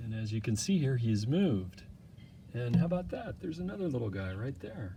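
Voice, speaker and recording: Somewhat breathy, the voice has a dark, mellow tone. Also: man. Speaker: hobbyist video maker. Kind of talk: casual vlog narration. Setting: outdoors in backyard. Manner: hesitant, many fillers; speaking softly.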